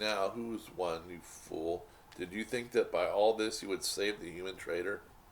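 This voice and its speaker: Over clear background noise, a man uses a shaky, put-on character voice, fairly low in pitch, at a moderate pace. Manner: gloating, vengeful.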